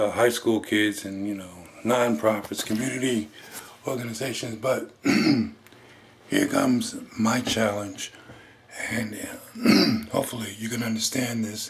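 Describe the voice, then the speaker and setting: Against noticeable background noise, a man talks at a fairly slow pace in a medium pitch with fairly even intonation. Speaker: motivational speaker. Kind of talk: personal testimony.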